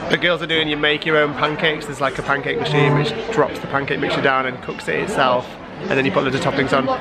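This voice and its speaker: Crowd noise fills the background as the speaker talks at a very fast pace. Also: man. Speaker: family vlogger. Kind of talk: casual vlog chat. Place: cafe. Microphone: phone near.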